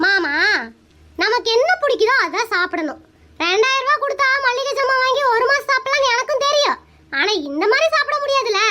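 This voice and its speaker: A cartoonish character voice moves at a moderate pace with lively intonation and very even loudness. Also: woman, extremely high pitch for a woman. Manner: cheeky, argumentative.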